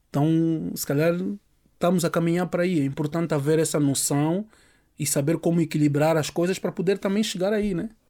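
A man's high-pitched, dark, mellow voice at a fairly quick pace, with fairly even intonation. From Angola. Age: 40s. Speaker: music producer. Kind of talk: interview. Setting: studio.

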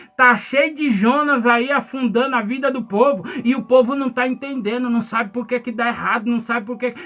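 A man with an extremely high pitch talks at a fairly quick pace in a monotone, flat delivery amid noticeable background noise. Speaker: pastor. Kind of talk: sermon.

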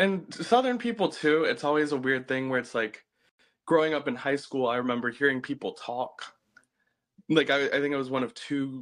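Over a quiet background, a normal speaking voice moves at a moderate pace with fairly even intonation. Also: man. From US South. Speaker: recent college graduate. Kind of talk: casual chat.

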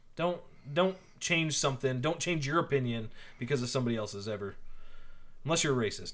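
The delivery is very fast with lively intonation, broken by long, frequent pauses. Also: man, fairly high pitch for a man. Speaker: podcast co-host. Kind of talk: casual chat.

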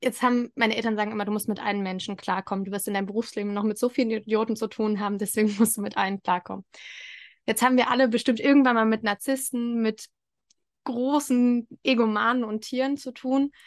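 At a very fast pace, a woman with a fairly high pitch and fairly even intonation speaks in a dry, close sound with no echo against a quiet background. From eastern Germany (Thuringia). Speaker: podcast host. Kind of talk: casual interview.

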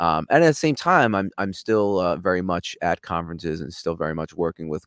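The speaker has a New York accent and vocal fry. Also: man. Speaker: cybersecurity executive. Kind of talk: casual interview. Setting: video call.

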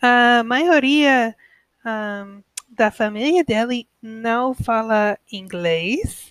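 Very slowly, a woman with an American accent and a fairly high pitch speaks with ordinary pitch variation in a dry, close sound with no echo. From United States. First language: English (speaking Portuguese). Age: 20s. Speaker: podcaster learning Portuguese. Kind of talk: language-learner monologue. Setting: at home alone. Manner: halting.

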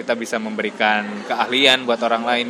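A man speaks at a medium pitch in a monotone, flat intonation. Noticeable background noise is present. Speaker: podcast co-host and social worker. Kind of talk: casual chat.

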